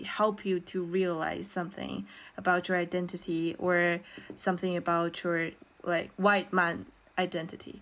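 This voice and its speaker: A woman with a Chinese accent, medium pitch and a fairly slow pace. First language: Mandarin Chinese. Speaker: podcast co-host, student. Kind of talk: casual chat.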